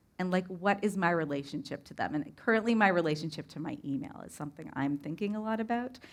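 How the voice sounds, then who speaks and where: A woman with a fairly low pitch speaks at a very fast pace with lively intonation and hardly any pauses, on a very clean recording with a silent background. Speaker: mindfulness researcher and teacher. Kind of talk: public lecture. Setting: stage with live audience. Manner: fast when excited; casual, lots of filler words.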